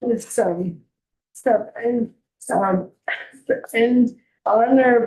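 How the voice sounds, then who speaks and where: A woman with a high pitch mumbles her words. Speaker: patient advocate. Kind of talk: public testimony. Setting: legislative committee hearing. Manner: halting; mumbling.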